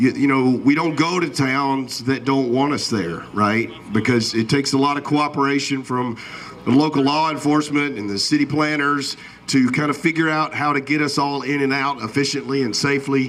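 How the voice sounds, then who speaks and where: Loud and at a moderate pace, a man with a Southern US accent and a fairly high pitch speaks with fairly even intonation over noticeable background noise. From Alabama. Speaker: event announcer. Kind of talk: public announcement.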